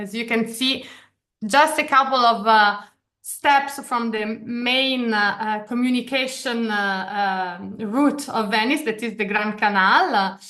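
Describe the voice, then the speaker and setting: With an Italian accent and a bright, sharp tone, a woman speaks at a high pitch, fairly slowly, with lively intonation. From Italy. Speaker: study abroad program director. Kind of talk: information session presentation. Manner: halting, many fillers.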